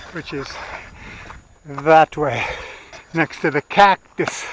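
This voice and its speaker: Noticeable background noise surrounds a man's fairly high-pitched, fairly evenly intoned voice, recorded with a dry, close sound and no echo. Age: 50s. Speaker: travel vlogger. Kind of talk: casual chat. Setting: outdoors.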